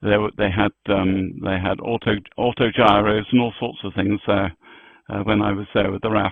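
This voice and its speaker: In a fairly low pitch, a man speaks at a moderate pace with monotone, flat intonation. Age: 80s+. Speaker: amateur radio operator. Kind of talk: casual chat. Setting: radio net. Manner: halting, many fillers.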